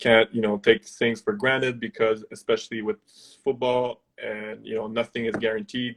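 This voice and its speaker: A man's medium-pitched voice with a slight French Canadian accent. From Quebec. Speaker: former university football player. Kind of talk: interview. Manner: halting.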